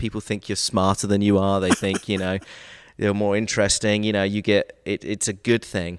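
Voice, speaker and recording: Fairly quick and fairly low-pitched, a man with an American accent speaks in a very clean recording against a silent background. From England, Brighton. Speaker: TV sports producer and local history creator. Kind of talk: interview.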